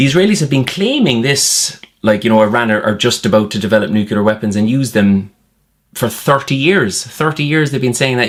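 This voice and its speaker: At a fairly quick pace, a man talks with an Irish accent and ordinary pitch variation. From Ireland. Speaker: political commentator. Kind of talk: satirical monologue. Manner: sarcastic, conversational.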